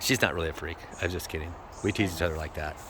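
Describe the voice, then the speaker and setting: A man talks at a very fast pace in a very deep, low pitch. Noticeable background noise runs underneath. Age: 60s. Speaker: cannabis grower vlogger. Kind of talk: casual chat. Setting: outdoors. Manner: halting.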